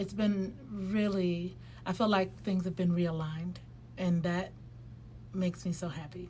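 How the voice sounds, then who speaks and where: A woman talks at a fairly slow pace with long, frequent pauses. Her fairly low voice is somewhat breathy, with ordinary pitch variation. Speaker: lifestyle vlogger. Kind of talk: casual vlog monologue. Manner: hesitant, many fillers.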